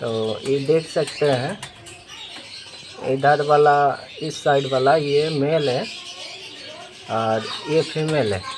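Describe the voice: Slow, fairly high-pitched male speech full of long, frequent pauses, over faint background noise. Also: ordinary pitch variation.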